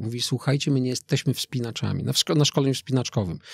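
Against a quiet background, a man talks very fast at medium pitch, and the sound is dry with no echo. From Poland, Lower Silesia. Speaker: skydiver and motivational speaker; motivational speaker. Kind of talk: interview conversation. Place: studio. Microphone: studio mic.

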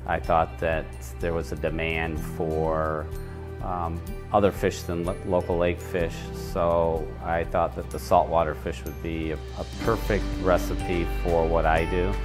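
A man speaks fairly slowly in a very deep, low voice. Clear music plays in the background. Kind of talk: interview answer. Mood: warm, proud. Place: hall. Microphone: lapel.

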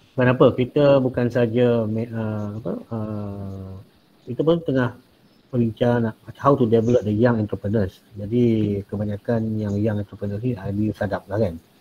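A man talks at a fairly slow pace with fairly even intonation. Light background noise is audible. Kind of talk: webinar discussion. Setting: video call. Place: home room. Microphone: video call.

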